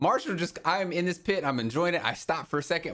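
An American-accented man speaks at a fairly quick pace in an animated tone, his fairly high voice carrying vocal fry. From US South. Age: 20s. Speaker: podcast host. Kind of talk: casual chat.

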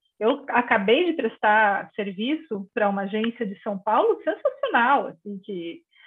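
Her fairly high pitch carries lively intonation as this woman speaks. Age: 50s. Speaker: journalist. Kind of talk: interview.

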